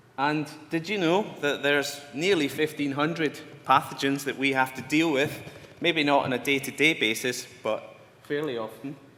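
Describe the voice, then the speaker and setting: A bright, sharp tone with a Glasgow accent, ordinary pitch variation and a moderate pace. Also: man. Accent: Scottish (Glasgow). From Scotland. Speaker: scientist lecturer. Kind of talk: lecture. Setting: conference talk to audience.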